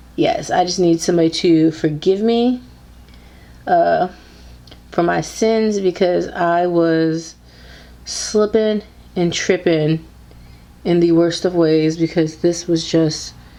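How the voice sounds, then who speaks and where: Speaking at a very slow pace with long, frequent pauses, a woman keeps her loudness very even. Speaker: beauty YouTuber. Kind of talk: casual talk to camera. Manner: upbeat.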